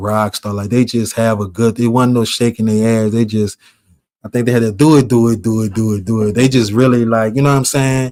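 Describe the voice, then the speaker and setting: With an American accent, a man talks at a fairly quick pace, a medium pitch and fairly even intonation. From New Orleans, Louisiana. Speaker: vlogger. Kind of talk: casual storytelling monologue.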